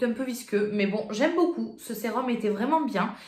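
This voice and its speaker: Audible room echo around a woman's voice, its pitch varying in an ordinary way. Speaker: beauty youtuber. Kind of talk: product review vlog. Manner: fast; casual, hesitant with fillers.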